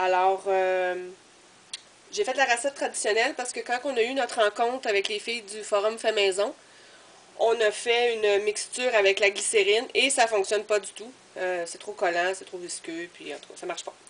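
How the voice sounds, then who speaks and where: A woman's fairly high voice in a Quebec accent, at a moderate pace with ordinary pitch variation over noticeable background noise. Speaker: crafter, video blogger. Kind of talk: tutorial. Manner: hesitant, many fillers.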